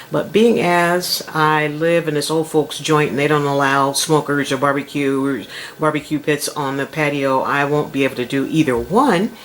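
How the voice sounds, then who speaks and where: At a moderate pace, the speech comes with noticeable background noise. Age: 70s. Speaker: home cooking channel host. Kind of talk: cooking tutorial. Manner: casual, chatty.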